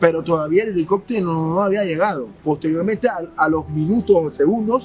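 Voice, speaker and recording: With music in the background, a man talks at a fairly quick pace in a high pitch with ordinary pitch variation. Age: 30s. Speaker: social activist. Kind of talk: interview testimony.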